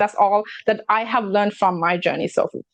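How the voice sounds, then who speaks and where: With fairly even intonation, a woman talks at a moderate pace and a fairly high pitch. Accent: non-native. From immigrant to Canada. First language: not English. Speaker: talk show host and real estate broker. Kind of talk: casual chat.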